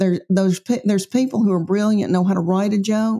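This voice has a dark, mellow tone and a Tennessee accent. It moves at a moderate pace with lively intonation. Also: woman. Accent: Southern US, Tennessee. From Middle Tennessee. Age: 50s. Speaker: comedian. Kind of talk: casual interview chat.

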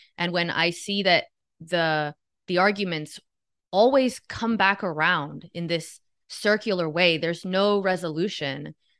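A woman talks at a fairly slow pace in an unremarkable speaking voice, medium in pitch with ordinary pitch variation. The background is quiet and the sound is dry and close, with no echo. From Miami, Florida (Cuban family). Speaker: podcast guest, commentator. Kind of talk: casual chat.

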